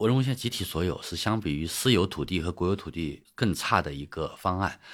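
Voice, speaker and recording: The speech moves at a fairly quick pace. The recording is very clean with a silent background. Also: man. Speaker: economist and author. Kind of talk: interview. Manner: halting.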